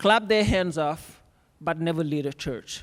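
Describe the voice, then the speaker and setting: At a moderate pace, a man with a non-native accent talks in a fairly high pitch with ordinary pitch variation. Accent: foreign. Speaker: conference speaker, academic. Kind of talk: conference talk. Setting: stage with audience.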